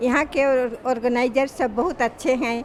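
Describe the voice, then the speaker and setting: A woman's high-pitched voice with fairly even intonation, against noticeable background noise. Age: 70s. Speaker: chess tournament participant. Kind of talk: interview statement.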